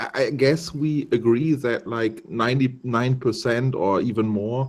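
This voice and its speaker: In a German accent, a man speaks at a medium pitch with ordinary pitch variation. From Germany. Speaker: YouTuber joining stream. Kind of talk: casual debate.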